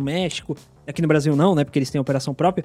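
A man is talking. His tone is dark and mellow. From São Paulo city, Brazil. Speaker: podcast industry professional. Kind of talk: casual interview chat.

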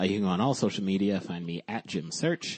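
At a fairly quick pace, a man speaks low-pitched with lively intonation and a slightly husky edge.

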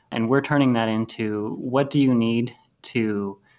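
A man at a medium pitch, an ordinary speaking voice, with fairly even intonation. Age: 20s. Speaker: wealth strategist and real estate investor. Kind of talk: interview.

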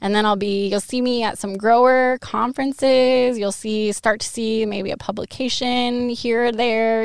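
In a very clean recording with a silent background, a woman with an American accent and a normal speaking voice talks at a moderate pace with hardly any pauses, her fairly high pitch held in fairly even intonation. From Western Washington. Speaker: PhD student in viticulture research. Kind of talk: casual interview.

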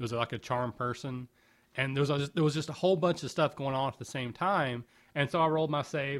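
A man at a medium pitch, very fast in pace, with fairly even intonation. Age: 40s. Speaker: podcast co-host. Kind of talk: casual chat. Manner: fast talker; mumbles at times.

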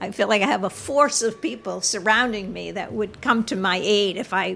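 A woman of medium pitch with vocal fry and hardly any pauses. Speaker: author and counselor. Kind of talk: interview.

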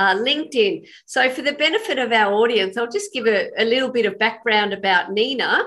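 A woman with an Australian accent talks at a moderate pace in a fairly high pitch. Her tone is bright and sharp, with ordinary pitch variation. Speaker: podcast host. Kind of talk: interview.

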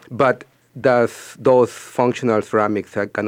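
A man talks with a Spanish accent at a moderate pace and fairly even intonation. The sound is dry and close, with no echo. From Peru. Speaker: ceramic artist. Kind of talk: radio interview.

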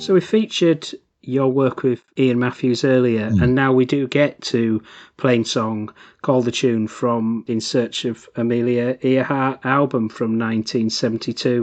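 A man with an unremarkable speaking voice talks at a fairly slow pace, with fairly even intonation and very even loudness, over a quiet background. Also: medium pitch for a man. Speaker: podcast host. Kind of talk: interview.

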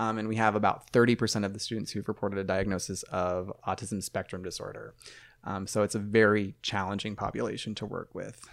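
A man with a Midwestern American accent talks very fast in a flat, monotone way at a fairly low pitch. The recording is very clean, the background silent. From rural Ohio. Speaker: math teacher. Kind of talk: casual chat. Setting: studio.

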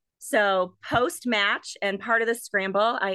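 Here a woman speaks in an American accent at a medium pitch. Her tone is bright and sharp, with ordinary pitch variation. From US Midwest, Wisconsin (Milwaukee suburb). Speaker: pharmacy association executive. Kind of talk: casual interview.

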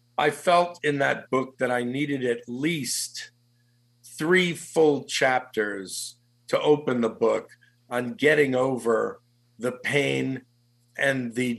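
This man's voice sits at a medium pitch with ordinary variation. He talks very slowly. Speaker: executive recruiter and author. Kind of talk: radio interview. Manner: animated.

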